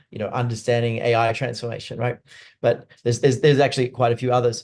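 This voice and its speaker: A medium-pitched man rattles along at a very fast pace in a monotone, flat intonation. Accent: American. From Australia (Sydney). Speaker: neuroscience leadership expert and company CEO. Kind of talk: webinar interview. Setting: webinar.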